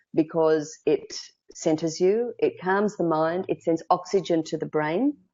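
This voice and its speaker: The speaker has an Australian accent and ordinary pitch variation. The pace is fairly slow. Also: woman, fairly low pitch for a woman. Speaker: speaking coach. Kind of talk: interview.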